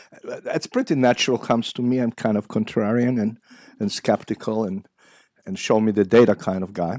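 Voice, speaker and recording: A man with an Israeli accent and a medium pitch speaks at a fairly quick pace with ordinary pitch variation, in a dry, close sound with no echo. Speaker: psychiatry professor. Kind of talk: lecture. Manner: halting, many fillers.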